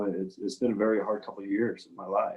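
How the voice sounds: A man at a moderate pace, with a dark, mellow tone, a slightly husky edge and vocal fry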